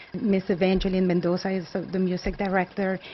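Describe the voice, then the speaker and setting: In a Colombian accent, a woman talks very fast at a medium pitch. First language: Spanish. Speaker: nonprofit executive director. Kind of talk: interview.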